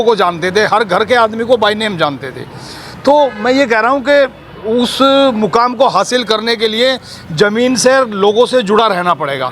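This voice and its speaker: A man with a high voice speaks with lively intonation over noticeable background noise. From Delhi. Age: 60s. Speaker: local party worker. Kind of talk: street interview.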